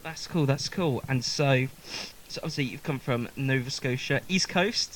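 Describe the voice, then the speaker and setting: In a southern English accent, the voice keeps a moderate pace with ordinary pitch variation. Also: man, fairly high pitch for a man. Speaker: musician and live session host. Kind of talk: casual live-stream chat. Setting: basement live stream.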